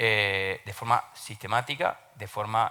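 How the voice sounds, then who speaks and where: In an Argentine accent, a man talks with a fairly low pitch and fairly even intonation. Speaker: open government consultant. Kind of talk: panel talk. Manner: hesitant fillers, repeats words.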